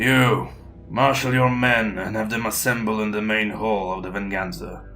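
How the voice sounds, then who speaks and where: Using a put-on character voice with a fairly low pitch, a man speaks at a moderate pace over clear background noise. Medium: audio drama. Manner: terse, cold, clipped.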